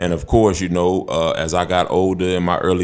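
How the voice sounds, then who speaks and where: A man with an American accent speaks in a very deep, low, flat monotone at a moderate pace. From Northwest Indiana (East Chicago, Gary). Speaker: podcast guest. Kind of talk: casual chat.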